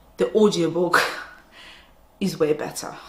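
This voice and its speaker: A woman's fairly low voice comes through at a moderate tempo, with noticeable noise behind her. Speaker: book reviewer. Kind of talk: casual talk to camera.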